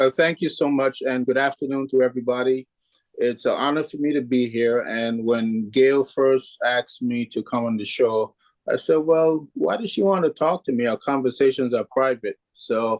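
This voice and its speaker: In a plain, everyday voice, a man speaks at a moderate pace and medium pitch, the sound dry and close with no echo. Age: 60s. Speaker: real estate agent and martial arts instructor. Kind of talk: interview.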